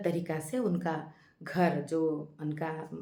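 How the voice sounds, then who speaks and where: A woman speaks in an East Indian accent with fairly low pitch and fairly even intonation. Audible room echo surrounds her voice. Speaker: YouTube channel host, movie-based life philosophy talks. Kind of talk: casual monologue, movie review with reflection. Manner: hesitant, with filler sounds.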